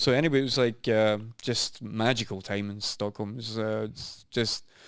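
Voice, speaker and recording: In a Scottish accent, the speaker keeps a moderate pace and fairly even intonation on a very clean recording with a silent background. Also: man, medium pitch for a man. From Scotland. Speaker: business owner and former bartender. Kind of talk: casual chat.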